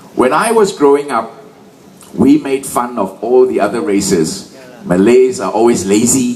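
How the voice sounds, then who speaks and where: A man speaks with very wide pitch swings. Audible room echo and noticeable background noise accompany him. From Malaysia. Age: 60s. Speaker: political rally speaker. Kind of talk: political rally speech. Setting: stage with audience. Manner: animated.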